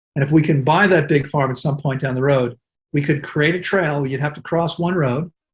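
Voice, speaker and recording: Fairly high in pitch and somewhat breathy, a man speaks at a fairly quick pace with fairly even intonation. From US. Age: 60s. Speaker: wellness center director. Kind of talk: interview.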